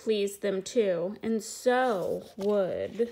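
The woman's voice sits at a fairly high pitch. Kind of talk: read-aloud children's book.

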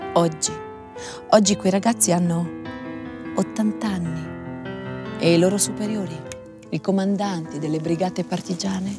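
Against music in the background, a woman speaks at a fairly slow pace with long, frequent pauses. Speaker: stage actress. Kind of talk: documentary voice-over narration.

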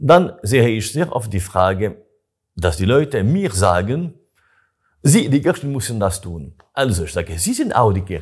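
A somewhat breathy voice with a French accent, a fairly slow pace and very wide pitch swings, over a quiet background. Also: man, fairly low pitch for a man. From Switzerland, Gruyère, canton of Fribourg (French-speaking); Fribourg, Switzerland. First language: French (speaking German). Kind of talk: interview. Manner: halting. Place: home room. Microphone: lapel.

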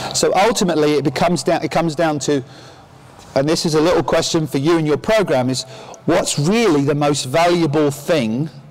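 Over noticeable background noise, a man with a fairly high pitch speaks at very even loudness with long, frequent pauses. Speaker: tennis coach educator. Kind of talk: conference presentation. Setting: stage with audience. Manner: interactive, jokey.

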